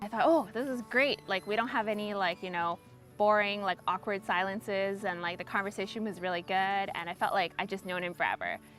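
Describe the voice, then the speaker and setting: A woman speaks at a fairly quick pace. Music plays behind her. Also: medium pitch for a woman, ordinary pitch variation. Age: 20s. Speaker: pharmacist. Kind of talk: interview testimony. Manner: casual, many fillers.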